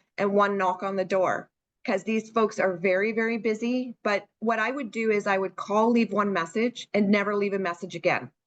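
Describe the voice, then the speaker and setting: A woman with a Canadian accent talks at a moderate pace in an ordinary speaking voice, fairly high in pitch with fairly even intonation. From Canada, Hamilton, Ontario. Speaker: senior care marketing consultant. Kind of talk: webinar Q&A.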